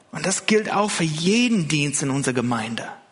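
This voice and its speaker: Speaking at a moderate pace with a non-native accent, a man's pitch swings very widely amid audible room echo. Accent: foreign accent in German. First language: not German (speaking German). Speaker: pastor. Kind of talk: sermon. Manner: hesitant, many fillers.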